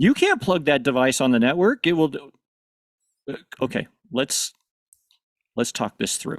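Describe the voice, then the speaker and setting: A man with an American accent speaks at a moderate pace and fairly high pitch with ordinary pitch variation and long, frequent pauses, in a very clean, dry, close recording with no echo and a silent background. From US Midwest, northern Missouri. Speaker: panelist, AV technology professional. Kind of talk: conference panel discussion.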